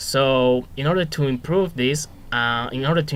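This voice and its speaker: A man with a Spanish accent has a bright, sharp tone and a medium pitch. He keeps a moderate pace and ordinary pitch variation. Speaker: student teacher. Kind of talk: reflective monologue. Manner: hesitant, many fillers.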